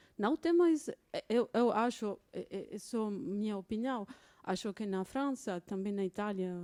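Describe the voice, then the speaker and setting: Lively in intonation, a woman speaks at a fairly high pitch with a dark, mellow tone, in a very clean recording with a silent background and a dry, close sound with no echo. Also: fairly slow pace. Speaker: symposium attendee. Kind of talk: audience comment at academic panel. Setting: auditorium at symposium. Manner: halting.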